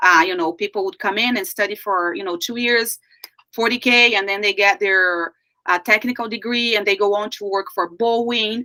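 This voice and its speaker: A woman at a medium pitch with a Brazilian Portuguese accent, bright and sharp in tone, ordinary pitch variation, moderate pace, dry and close with no echo. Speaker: life coach. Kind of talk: interview.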